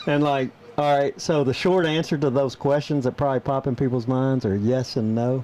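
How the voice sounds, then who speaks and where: Over noticeable background noise, a man with a strong Southern US accent speaks at a moderate pace and a medium pitch, with fairly even intonation and very even loudness. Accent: thick Southern US. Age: 40s. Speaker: podcast co-host. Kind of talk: casual chat. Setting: studio.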